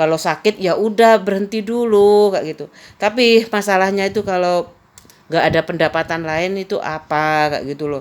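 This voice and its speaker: A woman talks at a moderate pace and medium pitch with ordinary pitch variation. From Madura, Indonesia. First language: Madurese (speaking Indonesian). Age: 50s. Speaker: vlogger. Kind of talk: casual personal storytelling.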